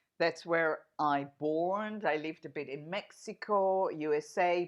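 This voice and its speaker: A woman speaks very slowly, her medium pitch rising and falling with ordinary variation. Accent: Israeli. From Israel. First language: Hebrew. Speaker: singer-songwriter. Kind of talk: radio interview. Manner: intense, energetic.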